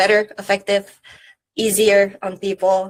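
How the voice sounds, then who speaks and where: A woman speaks in a Czech accent. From Czech Republic. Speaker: startup founder. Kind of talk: interview.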